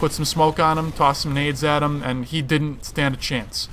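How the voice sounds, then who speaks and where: Noticeable background noise under speech at a fairly quick pace. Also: man. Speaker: gaming youtuber. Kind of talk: gameplay commentary. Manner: fast; animated.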